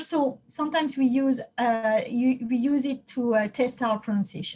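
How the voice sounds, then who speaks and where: A woman with a French accent speaks at a fairly slow pace in a high pitch. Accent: non-native English, French. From France. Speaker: computer science professor. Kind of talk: lecture. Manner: halting, many fillers.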